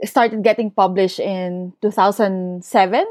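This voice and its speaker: A woman's voice is heard with a dry, close sound and no echo. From Philippines, Bulacan. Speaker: novelist. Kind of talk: interview.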